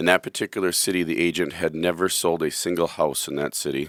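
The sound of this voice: In a very clean recording with a silent background, a man with a hoarse, low-pitched voice and a fairly bright tone talks fast with fairly even intonation.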